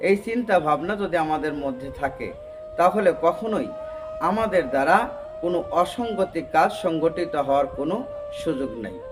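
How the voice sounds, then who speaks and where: A man speaks at a high pitch with lively intonation. Music plays in the background. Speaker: Islamic preacher. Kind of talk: Islamic sermon / motivational speech.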